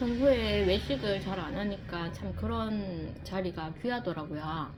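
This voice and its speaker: At a fairly slow pace, a woman speaks in a relaxed tone, with audible room echo and noticeable background noise. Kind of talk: casual eating vlog talk. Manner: relaxed, with many filler sounds.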